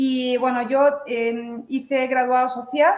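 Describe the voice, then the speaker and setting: The speaker is a woman with a high-pitched voice. Her intonation stays fairly even. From Andalusia, Cádiz (Chiclana de la Frontera). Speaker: artisan weaver. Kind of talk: interview. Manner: halting, with many fillers.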